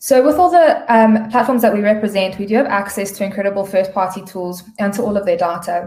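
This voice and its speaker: Somewhat breathy, a woman talks at a fairly quick pace with ordinary pitch variation and hardly any pauses. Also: medium pitch for a woman. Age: 30s. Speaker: digital media sales strategist. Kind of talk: webinar presentation.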